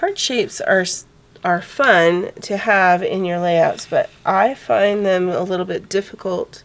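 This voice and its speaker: Against noticeable background noise, a woman speaks very slowly at a medium pitch. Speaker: scrapbooking instructor. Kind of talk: casual craft tutorial talk.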